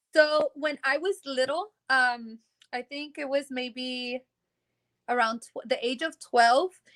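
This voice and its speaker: A woman's high-pitched voice, bright and sharp in tone, with lively intonation and a dry, close sound with no echo. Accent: American. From Texas, Rio Grande Valley. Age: 20s. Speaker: singer. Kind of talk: casual interview.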